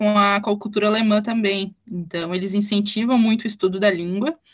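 With a plain, everyday voice, a woman speaks at a medium pitch and a fairly quick pace, her intonation fairly even. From southern Brazil, German-colonized town in Rio Grande do Sul. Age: 20s. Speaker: German teacher. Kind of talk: casual interview.

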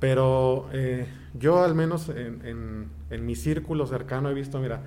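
Very slowly and with ordinary pitch variation, a man of medium pitch speaks in a room with audible echo. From Mexico, Toluca. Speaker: pianist and choir director. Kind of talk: interview.

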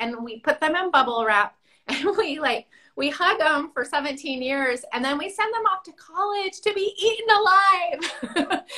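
A woman's raised, projected voice, high in pitch and bright and sharp in tone, moves at a fairly slow pace with very wide pitch swings and big swings in loudness. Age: 50s. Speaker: parenting entrepreneur. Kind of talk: interview.

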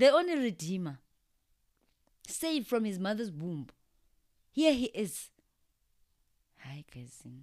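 A woman's medium-pitched voice at a fairly slow pace, with very wide pitch swings, big shifts in loudness, and long, frequent pauses. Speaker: podcast co-host. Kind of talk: casual faith-based chat. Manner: animated.

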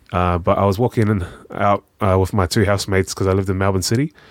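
Very fast speech from a man with a New Zealand accent and ordinary pitch variation. The recording is very clean and the background silent. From New Zealand, South Auckland. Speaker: charity worker. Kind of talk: casual chat.

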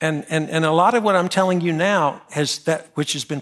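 Speaking with an American accent in an ordinary speaking voice, a man with fairly high pitch and ordinary pitch variation talks at a fairly quick pace on a very clean recording with a silent background. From North Carolina. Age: 60s. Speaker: pastor. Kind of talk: sermon. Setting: church.

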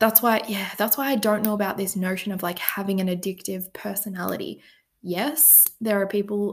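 At a moderate pace, the speaker uses ordinary pitch variation with an Australian accent. The recording is very clean, with a silent background. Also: woman. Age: 20s. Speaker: podcast host. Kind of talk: personal storytelling monologue. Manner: casual, filler-heavy.

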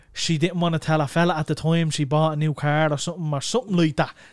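Recorded very cleanly with a silent background, a man in an Irish accent speaks at a fairly high pitch with fairly even intonation. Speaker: podcast host. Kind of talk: casual chat. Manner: fast.

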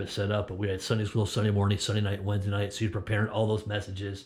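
Speaking very fast with an American accent, a man has a fairly low pitch and a somewhat breathy voice. His intonation is monotone and flat. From Connecticut, US. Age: 50s. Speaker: former pastor. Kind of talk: interview. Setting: church studio, video recording. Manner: halting, many fillers.

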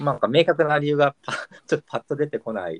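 A man's voice, dry and close-miked with no echo at all. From Kyushu. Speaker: podcast host. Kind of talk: casual chat.

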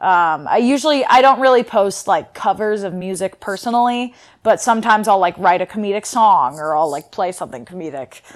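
Fairly quick speech with lively intonation and an American accent in a very clean recording with a silent background. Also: woman, medium pitch for a woman. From Northern California. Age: 20s. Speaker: social media creator and college student. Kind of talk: casual chat. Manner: animated.

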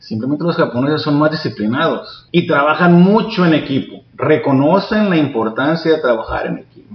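In a normal speaking voice, a man talks at a moderate pace and fairly high pitch, with hardly any pauses, lively intonation and big swings in loudness. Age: 40s. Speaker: jiu-jitsu instructor. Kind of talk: interview. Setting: martial arts academy.

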